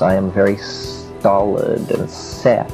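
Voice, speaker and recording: A man's fairly low-pitched voice comes through with music playing behind it. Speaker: speaker. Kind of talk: lecture.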